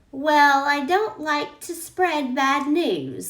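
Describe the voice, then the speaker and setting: A woman does a put-on character voice, high-pitched and delivered at a very slow pace. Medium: read story. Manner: blunt, snappish.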